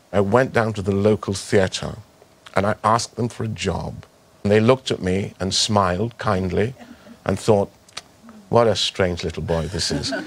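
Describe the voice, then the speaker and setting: A man with a fairly low voice speaks at a moderate pace in a fairly even tone, with long, frequent pauses and noticeable background noise. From Trinidad. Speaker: actor. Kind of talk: interview answer.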